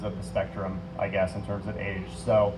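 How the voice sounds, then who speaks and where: With audible room echo, a man speaks at a moderate pace and fairly low pitch. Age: 30s. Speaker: city council candidate. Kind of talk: candidate forum answer.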